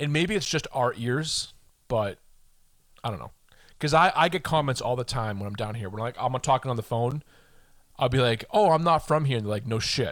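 Lively in intonation, a man uses an ordinary speaking voice with an American accent, talking at a fairly quick pace and medium pitch in a very clean recording with a silent background. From Boston, Massachusetts. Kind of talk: casual chat.

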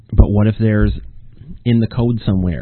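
His pitch rises and falls in an ordinary way. The man delivers his words fairly quickly. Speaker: podcast host and author. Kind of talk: solo casual monologue. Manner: rambling, hesitant with fillers.

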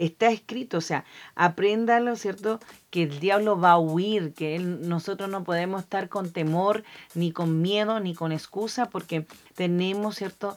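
At a fairly slow pace, a woman speaks at a medium pitch with fairly even intonation. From Argentina, then Chile. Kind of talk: casual Bible teaching chat.

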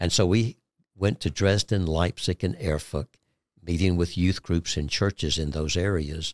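In a Southern US accent, a man with a very deep, low pitch talks at a moderate pace with ordinary pitch variation, on a very clean recording with a silent background. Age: 60s. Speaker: ministry guest, Gideons member. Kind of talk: testimony, interview.

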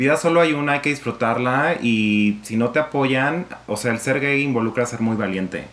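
This is a normal speaking voice, with ordinary pitch variation and a moderate pace. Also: man, medium pitch for a man. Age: 30s. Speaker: communication student and nightclub co-owner. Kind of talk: casual interview testimony.

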